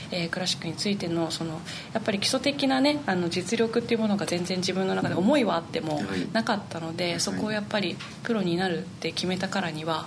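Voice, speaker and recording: A woman talks at a very fast pace with lively intonation and medium pitch. Audible room echo and noticeable background noise surround her voice. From Niigata, Japan. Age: 20s. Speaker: flutist. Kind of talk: interview.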